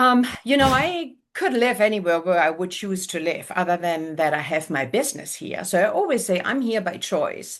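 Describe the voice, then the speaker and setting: Speaking with a German accent, a woman with a medium pitch moves at a moderate pace, her pitch swinging very widely. She leaves hardly any pauses, and the background is quiet. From Germany. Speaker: realtor. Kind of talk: interview. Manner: animated.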